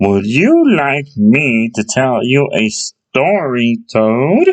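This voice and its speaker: In a put-on character voice, the speaker talks at a very slow pace with a low-to-middle pitch. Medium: read story. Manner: gentle, kindly.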